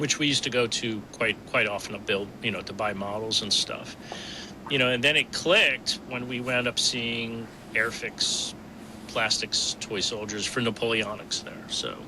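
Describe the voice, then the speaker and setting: A man with an American accent speaks with fairly even intonation at a moderate pace. There is noticeable background noise. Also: medium pitch for a man. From New Jersey. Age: 60s. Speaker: miniatures company owner. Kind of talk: casual interview.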